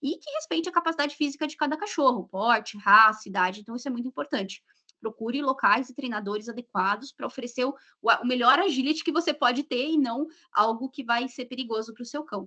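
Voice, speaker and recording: Her tone bright and sharp, a woman speaks at a fairly quick pace in a high pitch with lively intonation, the sound dry and close with no echo. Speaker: dog sports and genetics instructor. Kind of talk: live stream interview. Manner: fast.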